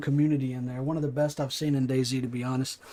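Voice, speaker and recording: A man talks at a very fast pace with a strong Appalachian accent. His tone is dark and mellow. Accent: thick Appalachian. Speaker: gaming streamer. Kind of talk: casual livestream chat. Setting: live stream while gaming.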